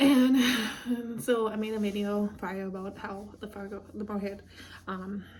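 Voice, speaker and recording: A woman with a dark, mellow tone speaks in a somewhat breathy, monotone, flat way. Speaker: vlogger. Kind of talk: casual vlog monologue. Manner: rambling with many fillers.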